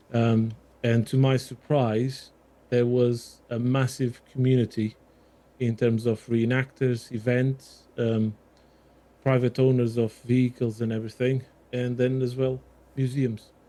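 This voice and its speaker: A man speaks at a fairly slow pace and medium pitch, with long, frequent pauses and a slight Portuguese accent. His tone is dark and mellow, his intonation a flat monotone. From Portugal. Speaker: armoured vehicle restoration volunteer. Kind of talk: podcast interview.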